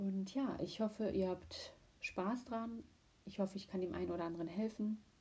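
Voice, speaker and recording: A woman speaks at a moderate pace in a medium pitch, her dark, mellow tone somewhat breathy and her intonation fairly even. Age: 20s. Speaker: podcast host. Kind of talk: solo podcast intro monologue.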